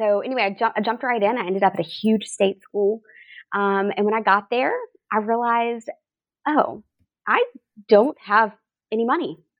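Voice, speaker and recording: A woman's fairly high voice at a moderate pace, with ordinary pitch variation and long, frequent pauses, in a dry, close, very clean recording with a silent background and no echo. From rural coastal Georgia, US South. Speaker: associate dean for student success. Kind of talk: casual interview.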